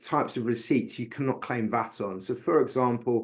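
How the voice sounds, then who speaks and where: A man in a British accent talks with ordinary pitch variation. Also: quiet background. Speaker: bookkeeping speaker. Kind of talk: webinar presentation.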